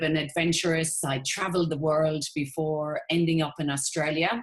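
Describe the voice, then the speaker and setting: A woman with an Irish accent speaks at a moderate pace in a fairly low pitch. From Ireland. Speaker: network marketing entrepreneur. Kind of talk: sales presentation. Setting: webinar.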